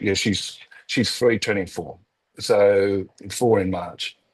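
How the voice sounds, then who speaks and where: A man with an Australian accent and fairly low pitch, speaking at a very slow pace. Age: 60s. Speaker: real estate business owner, cancer survivor. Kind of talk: podcast interview. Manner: halting.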